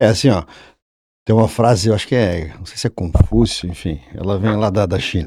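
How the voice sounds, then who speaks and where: A somewhat breathy, dark, mellow male voice, fairly low in pitch, with ordinary pitch variation and big swings in loudness. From Santa Catarina, Brazil (Brusque area). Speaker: engineering professor and former surveyor. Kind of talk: casual podcast conversation. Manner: halting, with frequent restarts.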